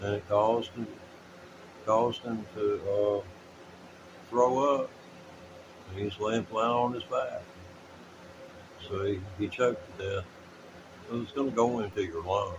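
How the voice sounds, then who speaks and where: Amid noticeable background noise, a man with fairly low pitch talks at a fairly slow pace, leaving long, frequent pauses and keeping fairly even intonation. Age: 60s. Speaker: amateur blues guitarist and livestreamer. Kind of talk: casual livestream chat. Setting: live stream from home.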